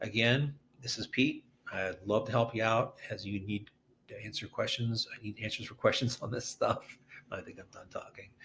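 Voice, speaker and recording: A man at a moderate pace, his loudness swinging widely. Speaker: real estate agent. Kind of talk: tutorial. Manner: casual, with filler words.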